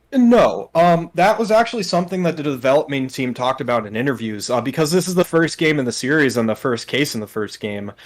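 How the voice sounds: A man talks at a fairly quick pace with few pauses. His medium pitch moves with lively intonation.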